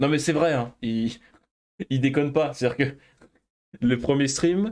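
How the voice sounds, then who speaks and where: A man talks at a medium pitch. His pace is fairly quick, with ordinary pitch variation. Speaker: gaming streamer. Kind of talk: let's play commentary.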